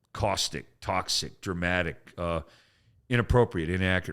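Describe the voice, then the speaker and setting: Animated in tone, a man with a very deep, low pitch speaks at a moderate pace and shows ordinary pitch variation. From Canada. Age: 60s. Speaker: comedian. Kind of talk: casual chat.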